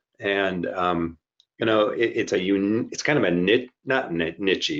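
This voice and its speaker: Over a quiet background, a man with an unremarkable speaking voice and fairly low pitch speaks at a moderate pace. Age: 60s. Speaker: healthcare IT executive. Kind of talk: interview.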